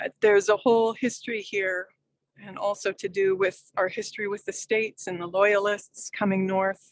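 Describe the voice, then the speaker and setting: The woman has a plain, everyday voice with a Canadian accent and fairly even intonation. She talks at a moderate pace, and the sound is dry and close with no echo. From Quebec, English-speaking Montreal. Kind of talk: personal storytelling in online group.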